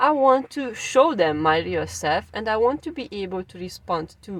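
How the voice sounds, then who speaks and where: Speaking at a moderate pace, a woman with a Hungarian accent swings her pitch very widely. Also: dry, close sound with no echo. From Transylvania, Romania (Hungarian minority). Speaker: language teacher. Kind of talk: personal story to camera. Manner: some hesitations and fillers.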